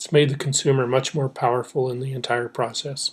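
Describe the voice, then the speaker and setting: This man's somewhat breathy voice sits at a fairly high pitch and stays in a monotone, flat intonation. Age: 60s. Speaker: professor. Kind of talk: lecture. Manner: halting.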